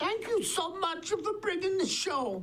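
In a put-on character voice with a German accent, someone speaks at an extremely high pitch and a fairly slow pace over clear background noise. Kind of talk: talk show host addressing guest. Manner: polite, appreciative.

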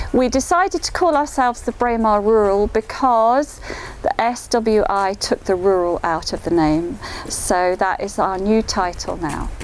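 A woman speaks at a fairly slow pace in a fairly high pitch, her voice swinging very widely in pitch, with a dry sound free of echo and light background noise. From Scotland. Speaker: women's club president. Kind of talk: interview. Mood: friendly, informative. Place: street.

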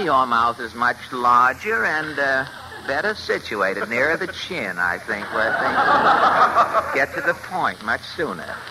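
A man speaks at a very slow pace in a medium pitch, with very wide pitch swings and loud background noise. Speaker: radio comedian and host. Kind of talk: live radio comedy interview. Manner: gruff but mostly cheerful. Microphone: old recording.

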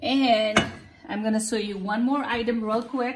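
A woman talks at a moderate pace in a somewhat breathy voice. Light background noise can be heard. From Nepal. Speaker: home cooking video host. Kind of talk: cooking tutorial; tutorial. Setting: home kitchen. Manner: hesitant with frequent fillers. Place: kitchen. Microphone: phone near.

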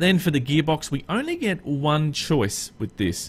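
Speaking fairly slowly, a man with an Australian accent uses a fairly high pitch and lively intonation. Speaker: gaming YouTuber. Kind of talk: gameplay commentary. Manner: casual, hesitant with frequent fillers.

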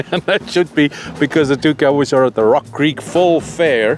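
A man's voice, dry and echo-free, with clear music playing behind it. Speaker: travel show host. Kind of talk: casual vlog chat. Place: street. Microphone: handheld.

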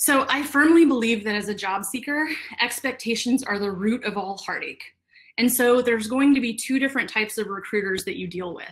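Against a quiet background, a woman talks at a fairly quick pace with a fairly high pitch and ordinary pitch variation. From Texas. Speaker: HR professional. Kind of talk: virtual conference talk. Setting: video call. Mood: warm, smiling. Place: home room.

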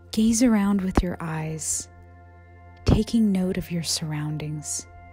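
Spoken at a very slow pace in a calm tone with ordinary pitch variation, the voice sits over music in the background. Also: woman, fairly low pitch for a woman. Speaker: meditation guide. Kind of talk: guided meditation. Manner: calm, slow.

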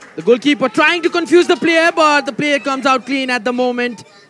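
A man's voice, extremely high in pitch, over noticeable background noise. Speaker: football commentator. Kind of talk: live sports commentary on a penalty shootout. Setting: stadium broadcast. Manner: excited, emphatic on the decisive result.

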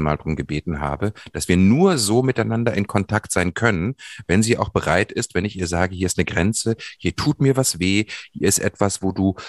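A man's plain, everyday voice, fairly low in pitch and at a fairly quick pace, in a dry, close sound with no echo against a quiet background. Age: 50s. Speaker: podcast co-host. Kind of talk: personal conversation on a podcast.

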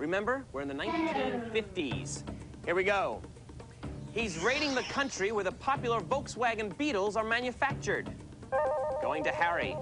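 Loud music plays in the background as a man speaks. His pace is moderate, with long, frequent pauses. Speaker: quiz show host. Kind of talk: game show hosting. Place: studio.

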